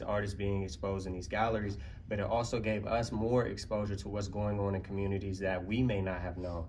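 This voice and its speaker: With an American accent, a man speaks at a fairly low pitch. His intonation is fairly even, and the room echo is audible. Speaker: community arts partner. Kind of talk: conference panel presentation. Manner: fast.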